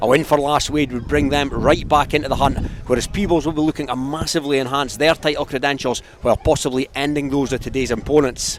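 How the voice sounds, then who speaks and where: Speech comes at a very fast pace in a Scottish accent, with hardly any pauses. The intonation is monotone and flat, and background noise is noticeable. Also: man, fairly high pitch for a man. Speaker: rugby match commentator. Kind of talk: live sports commentary.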